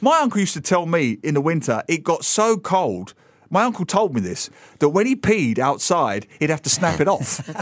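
A man's high voice with a London accent, moderate pace and very wide pitch swings. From London, England. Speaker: author and newspaper columnist. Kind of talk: casual radio chat. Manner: animated.

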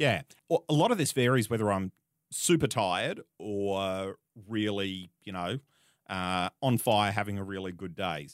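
In an Australian accent, a man speaks fairly slowly at a fairly low pitch in a very clean recording with a silent background. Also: ordinary pitch variation, dry, close sound with no echo. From Australia, rural Queensland. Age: 30s. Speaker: media host and marketer. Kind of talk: interview conversation. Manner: hesitant, many fillers.

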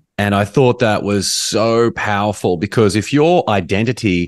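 Quiet in the background, this clip has a man with a normal speaking voice. His pitch is fairly low and varies in an ordinary way. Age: 40s.

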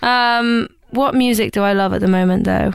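On a very clean recording with a silent background, a woman at medium pitch speaks at a fairly slow pace with an East Midlands accent. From East Midlands, England (rural Lincolnshire near Nottingham). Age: 20s. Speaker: pop musician. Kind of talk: casual interview chat.

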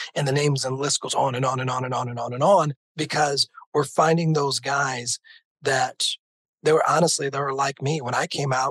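A man with a fairly high pitch, dry and close with no echo. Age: 50s. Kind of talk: interview. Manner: animated.

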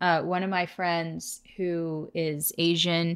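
The tone is bright and sharp, with an American accent. It is a very clean recording with a silent background. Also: woman. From Southern California, Orange County. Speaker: podcast co-host. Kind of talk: casual chat.

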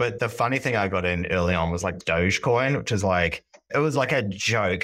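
On a very clean recording with a silent background, a man with a New Zealand accent talks at a fairly quick pace, his fairly low voice carrying lively intonation. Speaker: neobank product executive. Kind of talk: podcast interview.

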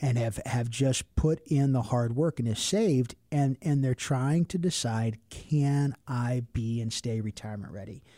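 A man with an American accent speaks at a fairly slow pace with hardly any pauses, his medium-pitched voice dark and mellow with ordinary pitch variation. The sound is dry and close with no echo, on a very clean recording with a silent background. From Cincinnati, Ohio. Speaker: financial advisor. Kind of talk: radio talk show. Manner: animated.

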